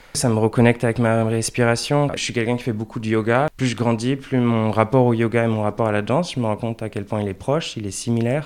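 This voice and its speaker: The man talks at a very fast pace with hardly any pauses. His intonation stays fairly even. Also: medium pitch for a man. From France, Angers. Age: 20s. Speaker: dancer and choreographer. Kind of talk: interview conversation. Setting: in person.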